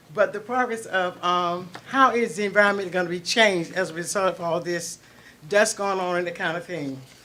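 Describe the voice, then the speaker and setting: Speaking at a fairly quick pace with an American accent, a woman uses a medium pitch, ordinary pitch variation and a bright, sharp tone. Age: 70s. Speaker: public commenter at county meeting. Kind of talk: public comment at meeting. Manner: halting, with many fillers.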